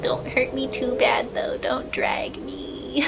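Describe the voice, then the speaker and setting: The speech comes at a fairly slow pace. Noticeable background noise and audible room echo fill the recording. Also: woman. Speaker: lolita fashion YouTuber. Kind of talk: casual Q&A vlog. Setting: bedroom.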